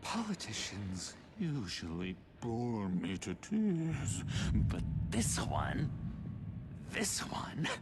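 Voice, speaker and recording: Using a put-on character voice with a theatrical tone, a man speaks at a very slow, medium-pitched pace full of long, frequent pauses, with clear background noise behind him. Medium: video game. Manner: giggly, teasing, theatrical.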